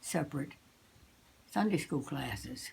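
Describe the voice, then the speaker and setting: A woman's very deep, low voice with vocal fry, a dark, mellow tone and an American accent. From USA. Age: 80s+. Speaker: musician. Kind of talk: interview answer.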